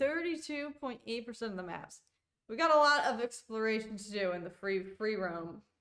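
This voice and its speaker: Against a quiet background, a woman with a fairly high pitch talks at a moderate pace in a bright, sharp, animated tone, her pitch swinging very widely and her loudness rising and falling a great deal. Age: 20s. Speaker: gaming streamer. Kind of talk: casual livestream gameplay commentary. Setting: live stream. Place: home room.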